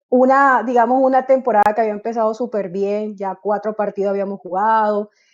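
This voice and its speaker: A woman speaks at a fairly quick pace and a fairly high pitch, with fairly even intonation and hardly any pauses. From Colombia, Barranquilla (Caribbean coast). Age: 30s. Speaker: football coach. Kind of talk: interview. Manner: hesitant, frequent fillers.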